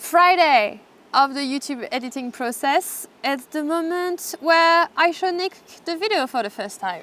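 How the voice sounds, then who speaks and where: A woman with a non-native accent talks at a fairly slow pace. Her voice is high-pitched and bright and sharp, with lively intonation. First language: not English. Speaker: travel YouTuber and video editor. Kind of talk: casual explanatory chat.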